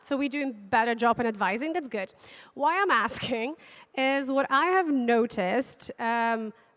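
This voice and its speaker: A woman talks at a fairly slow pace. Her high voice has lively intonation. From Belarus. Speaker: conference speaker, tech company account manager. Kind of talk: conference talk. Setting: stage with audience.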